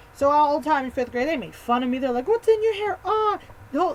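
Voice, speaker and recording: Over noticeable background noise, a woman speaks very fast with very wide pitch swings. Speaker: vlogger. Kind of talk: casual storytelling vlog. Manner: animated.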